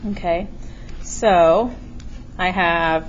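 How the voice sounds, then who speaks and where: A woman's pitch shifts in an ordinary way, and room echo is audible around her. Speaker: math teacher. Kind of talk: tutorial. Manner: casual.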